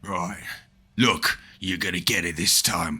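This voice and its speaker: A man puts on a character voice that is raspy and very deep. He speaks at a fairly slow pace. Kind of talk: casual, threatening. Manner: menacing.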